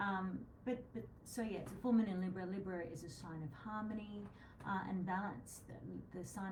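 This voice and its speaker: Soft-spoken, a woman talks at a fairly quick pace with a fairly low pitch in an Australian accent. Noticeable background noise and audible room echo surround her. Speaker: astrologer co-host of psychic show. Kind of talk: casual live-stream chat on astrology. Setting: live video stream. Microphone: too quiet for some viewers.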